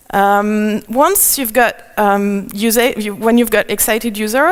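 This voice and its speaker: A woman speaks with a French accent in a fairly high voice, her intonation fairly even. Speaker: conference speaker. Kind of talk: conference talk. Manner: halting, many fillers.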